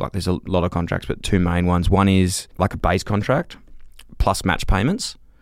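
A man with an Australian accent speaks at a fairly quick pace and a very deep, low pitch on a very clean recording with a silent background. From Australia, Melbourne. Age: 30s. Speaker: former professional footballer, podcaster. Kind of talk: casual chat.

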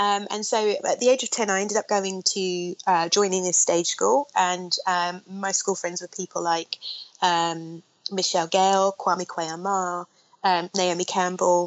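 Flat and monotone, a woman with a London accent speaks at a medium pitch. Her pace is fairly slow. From south London (Streatham). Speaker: film director. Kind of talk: interview. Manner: hesitant, many fillers.

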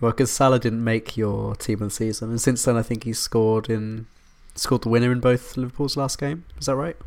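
Using fairly even intonation, a man with an English accent talks at a fairly quick pace in a medium pitch. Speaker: football podcast host. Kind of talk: casual chat.

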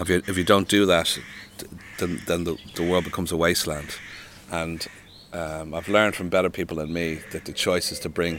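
Speaking fairly quickly in a Dublin accent, a man with a very deep, low voice keeps his intonation flat and monotone. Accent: Irish (Dublin). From Ireland (Dublin). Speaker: author and poet. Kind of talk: interview conversation. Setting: outdoors.

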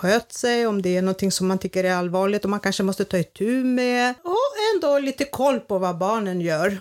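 A woman's medium-pitched voice in a Greek accent, with ordinary pitch variation. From Greece, village. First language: Greek (speaking Swedish). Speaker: grandmother. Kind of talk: casual chat.

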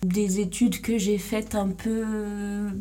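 Audible room echo carries a woman's somewhat breathy, dark and mellow voice, medium in pitch and monotone, with flat intonation. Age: 20s. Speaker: podcast host. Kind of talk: solo monologue. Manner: hesitant.

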